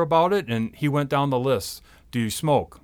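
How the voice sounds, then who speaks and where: A plain, everyday voice from a man, fairly high-pitched, with lively intonation, in a very clean recording with a silent background. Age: 40s. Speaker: mail carrier. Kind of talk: casual interview.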